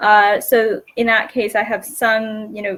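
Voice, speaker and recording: Bright and sharp in tone, a woman with an American accent speaks at a fairly slow pace in a fairly high pitch. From New Hampshire, US. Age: 20s. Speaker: online English tutor. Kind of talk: casual chat. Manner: halting.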